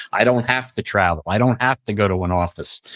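Speaking at a very fast pace with lively intonation, a man is heard in a dry, close sound with no echo. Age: 60s. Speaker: franchise consultant. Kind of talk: interview.

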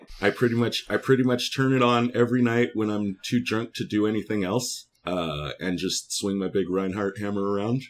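Speaking with a Californian accent, a man with a fairly low pitch keeps a moderate pace, ordinary pitch variation and hardly any pauses. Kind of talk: casual chat. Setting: video call.

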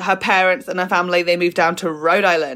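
A woman with a southern English accent speaks at a fairly quick pace in a bright, sharp tone. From southern England, Fleet in North East Hampshire. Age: 20s. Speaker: comedian. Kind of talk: casual chat.

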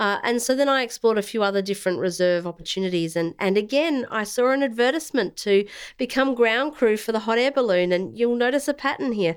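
A woman's very fast, fairly high speech with an Australian accent, lively intonation, very even loudness and hardly any pauses, in a very clean recording with a silent background. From South Australia. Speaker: former air force intelligence officer, veterans' organisation director. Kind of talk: interview. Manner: formal.

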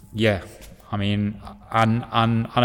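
A man with a Yorkshire accent speaks at a fairly low pitch. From northern England, Hull. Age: 20s. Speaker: rugby player and teacher. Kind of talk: casual chat.

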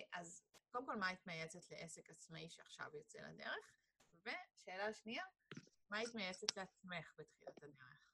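A woman's medium-pitched voice, bright and sharp in tone, with lively intonation at a moderate pace. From Sharon region, Israel. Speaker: podcast host. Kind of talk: podcast interview.

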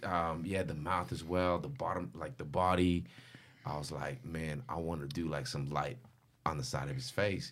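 Vocal fry runs through this man's very deep, low voice as he speaks at a moderate pace with lively intonation amid audible room echo. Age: 30s. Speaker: graffiti artist. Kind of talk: casual chat.

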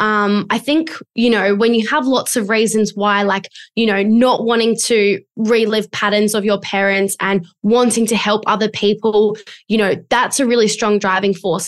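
Speaking with an Australian accent, a woman uses a medium pitch and fairly even intonation at a moderate pace. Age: 20s. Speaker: business coach. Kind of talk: interview.

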